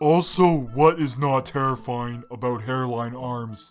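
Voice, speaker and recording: Using a cartoonish character voice at a medium pitch, a man talks at a fairly slow pace. Faint music plays in the background. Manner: dry, sarcastic.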